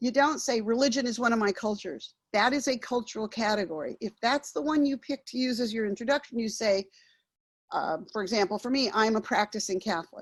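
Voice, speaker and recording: In a quiet background, a woman with an ordinary speaking voice talks at a fairly quick pace, her fairly high pitch showing ordinary variation. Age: 60s. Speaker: workshop facilitator. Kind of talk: workshop training.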